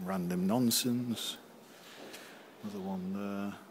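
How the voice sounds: The pace is slow. Intonation stays fairly even. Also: man, fairly low pitch for a man.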